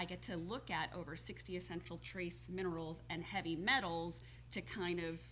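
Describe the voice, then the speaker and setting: A woman with a New Jersey accent, with audible room echo. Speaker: holistic health coach. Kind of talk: TV talk show interview.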